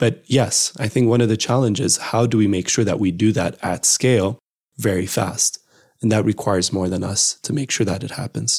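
The man's fairly low voice is somewhat breathy, with ordinary pitch variation at a moderate pace. His sound is dry and close, without echo. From Ethiopia. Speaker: startup CEO. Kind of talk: interview.

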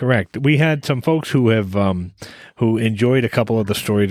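An American accent marks a man's unremarkable speaking voice, fairly quick and medium in pitch with lively intonation, recorded very cleanly against a silent background with a dry, close sound and no echo. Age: 50s. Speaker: podcast co-host, driver. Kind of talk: casual chat.

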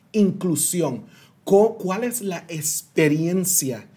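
A man's high-pitched voice with a Puerto Rican accent, a dark, mellow tone and lively intonation. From Puerto Rico (San Sebastián). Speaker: diversity consultant and speaker. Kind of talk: interview.

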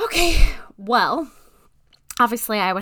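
A woman with an American accent talks at a very slow pace. Her pitch swings very widely. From Alaska. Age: 30s. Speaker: podcast host. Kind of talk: casual chat. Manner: hesitant, many fillers; laughs often.

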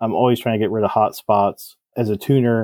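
At a fairly quick pace, a man of medium pitch speaks in a monotone with flat intonation. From New Jersey. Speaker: cylinder head porter and engine builder. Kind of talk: podcast interview.

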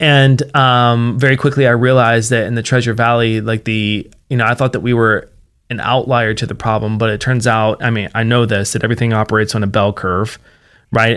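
An unremarkable speaking voice talks at a fairly quick pace in an American accent, with fairly even intonation. The recording is very clean over a silent background. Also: man. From West Virginia. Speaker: nonprofit founder, addiction recovery advocate. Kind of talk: interview.

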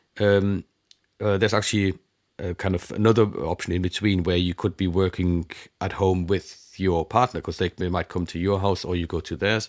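A man's very deep, low voice in a German accent, at a moderate pace with fairly even intonation, dry and close with no echo, in a very clean recording on a silent background. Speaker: conference interpreter. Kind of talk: interview.

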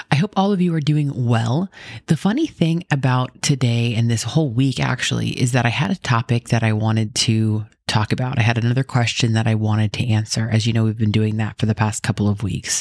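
A soft-spoken woman talks at a very deep, low pitch with ordinary pitch variation. Her loudness stays very even in a dry, close sound with no echo. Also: fairly quick pace. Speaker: podcast host. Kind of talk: scripted Bible podcast intro and casual chat. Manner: soft-spoken, talking quietly.

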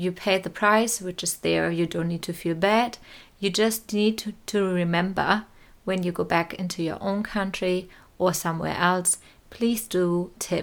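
Over a very clean recording with a silent background, a woman speaks fairly slowly at medium pitch with fairly even intonation. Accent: German. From Germany, small town and village. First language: German. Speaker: podcast host. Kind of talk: solo podcast monologue. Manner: casual, with laughter.

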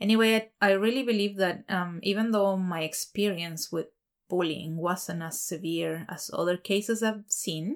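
Delivered at a moderate pace with ordinary pitch variation, this voice carries a Spanish accent. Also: woman, medium pitch for a woman. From Chile. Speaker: podcast host. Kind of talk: personal monologue. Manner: hesitant, many fillers.

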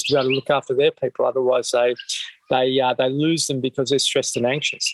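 A man with an Australian accent speaks in monotone, flat intonation. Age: 50s. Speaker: mental health charity founder. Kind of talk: interview. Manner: halting, many fillers.

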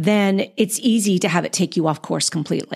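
At a moderate pace, a woman talks in an animated tone. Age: 50s. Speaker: podcast host and actor. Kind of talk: casual interview chat. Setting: remote call.

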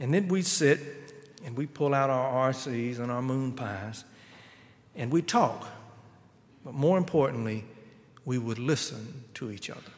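Talking at a fairly slow pace with a Southern US accent, a man leaves long, frequent pauses and swings widely in loudness. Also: medium pitch for a man, ordinary pitch variation. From South Carolina. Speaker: guest preacher. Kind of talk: sermon. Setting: church.

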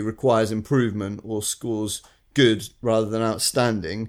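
A man speaks with a northern English accent at a medium pitch and a fairly slow pace. The recording is very clean, with a silent background. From northern England. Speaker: recruitment consultant podcast co-host. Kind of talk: casual chat.

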